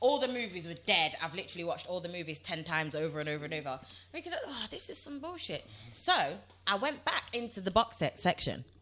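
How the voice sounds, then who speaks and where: A woman in a Nottingham accent, very fast and animated, with very wide pitch swings and big swings in loudness. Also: medium pitch for a woman. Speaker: podcast co-host. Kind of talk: casual chat.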